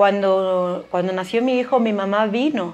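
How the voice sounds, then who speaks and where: A woman at medium pitch and a fairly slow pace, in a plain, everyday voice. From Spain (Galicia). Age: 40s. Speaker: biologist and educator, mother. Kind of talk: casual interview.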